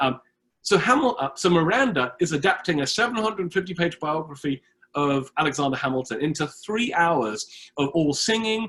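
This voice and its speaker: With a British accent, a man speaks at a moderate pace. His pitch is high and his intonation lively. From Britain. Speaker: history professor. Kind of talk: lecture.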